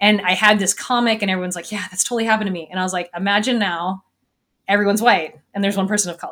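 This woman has an American accent and a medium pitch. She talks very fast with fairly even intonation. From US Northwest, small town in Washington. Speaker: physics lecturer and science podcast host. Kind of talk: interview podcast. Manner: casual, filler-heavy with frequent laughter.

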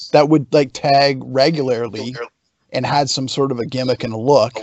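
A man of medium pitch uses a plain, everyday voice with fairly even intonation. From Canada. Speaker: pro wrestler. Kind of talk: casual chat.

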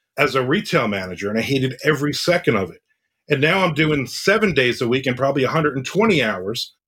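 A man has an unremarkable speaking voice. He talks at a moderate pace. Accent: American. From New Jersey. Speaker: thriller and horror author. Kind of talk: casual interview chat.

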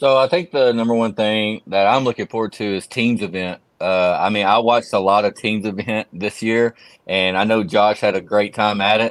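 A man with a plain, everyday voice speaks at a moderate pace in a fairly low pitch with fairly even intonation. The sound is dry and close with no echo, over a quiet background. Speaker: cornhole player. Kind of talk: casual interview.

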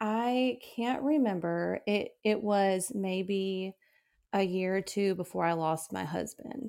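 In a Southern US accent, a woman with a medium pitch and a dark, mellow tone talks at a very slow pace with lively intonation, on a very clean recording with a silent background. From West Tennessee. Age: 30s. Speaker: widow sharing grief story. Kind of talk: personal testimony interview.

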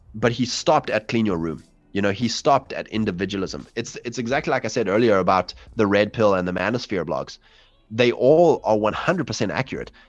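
Music plays in the background as a man with a medium pitch speaks at a fairly quick pace with lively intonation. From South Africa. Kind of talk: casual interview on livestream.

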